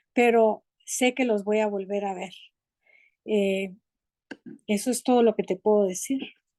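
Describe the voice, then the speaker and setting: A woman's dark, mellow tone at a fairly high pitch, with fairly even intonation, long, frequent pauses, and a dry, close sound with no echo. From Guatemala City. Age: 70s. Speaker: theology graduate, course participant. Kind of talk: personal testimony in online class.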